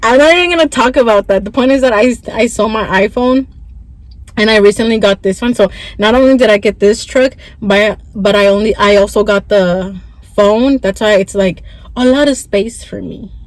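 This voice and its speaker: A woman speaks at a moderate pace in a fairly high pitch with ordinary pitch variation. Noticeable background noise runs underneath. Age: 20s. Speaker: vlogger. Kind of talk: casual vlog story time. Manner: stuttering, halting; chatty, code-switching.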